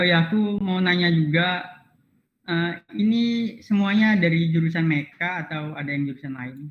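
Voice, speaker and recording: There is audible room echo as a man with an Aceh accent speaks at a moderate pace with a high pitch. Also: ordinary pitch variation. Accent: Acehnese-accented Indonesian. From Indonesia, Aceh (Aceh Tamiang). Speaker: university student robotics club mentor. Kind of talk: online class lecture; casual self-introduction.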